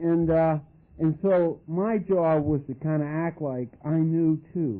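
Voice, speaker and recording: A man speaks at a very slow pace, fairly high in pitch, with ordinary pitch variation. Long, frequent pauses break up his words. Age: 40s. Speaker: recovering alcoholic speaker. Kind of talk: recovery testimony. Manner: halting, many repeated words.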